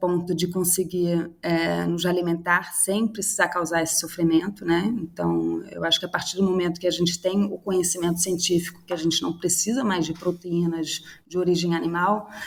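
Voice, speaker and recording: Speaking at a moderate pace with hardly any pauses, a woman with a Swedish accent keeps a fairly low pitch and a monotone, flat intonation. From Sweden. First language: Swedish (speaking Portuguese). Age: 30s. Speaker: startup cofounder. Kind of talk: interview. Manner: halting, with many fillers and repetitions.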